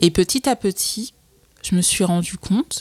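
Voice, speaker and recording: Medium pitch from a woman, recorded very cleanly against a silent background. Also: dry, close sound with no echo. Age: 20s. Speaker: entrepreneur. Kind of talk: casual chat. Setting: office. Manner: halting.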